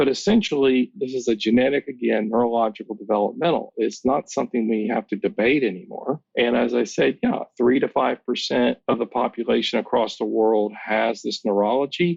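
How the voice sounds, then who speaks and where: A man's normal speaking voice at medium pitch, ordinary pitch variation and a fairly quick pace, with a dry, close sound and no echo. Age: 60s. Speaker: counselor. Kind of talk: interview. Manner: explanatory, lecture-like.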